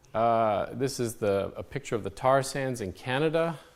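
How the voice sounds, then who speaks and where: A man at medium pitch, with audible room echo. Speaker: fusion energy scientist. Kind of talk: conference talk. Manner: fast; hesitant, many fillers.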